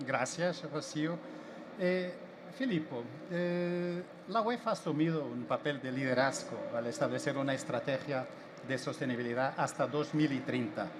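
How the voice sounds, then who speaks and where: A man with a Portuguese accent and a fairly high pitch speaks at a fairly slow pace with ordinary pitch variation, amid noticeable background noise. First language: Portuguese (speaking Spanish). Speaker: panel moderator. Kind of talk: panel discussion.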